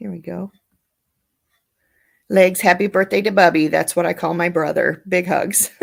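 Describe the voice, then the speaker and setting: This woman has a fairly low pitch with vocal fry and a monotone, flat intonation. She leaves long, frequent pauses. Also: moderate pace, big swings in loudness. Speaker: live streamer. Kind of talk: casual chat. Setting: live stream.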